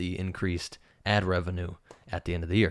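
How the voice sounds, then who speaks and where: A man with a very deep, low pitch talks at a very fast pace, recorded very cleanly with a silent background and a dry, close sound with no echo. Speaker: YouTuber. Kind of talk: tutorial. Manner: casual.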